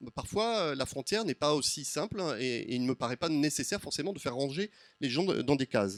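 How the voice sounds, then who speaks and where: In a very clean recording with a silent background and a dry, close sound with no echo, a man speaks fairly quickly at a fairly high pitch. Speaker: sociology professor. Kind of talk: conference talk with slides. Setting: round table before audience. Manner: fast; hesitant, many fillers.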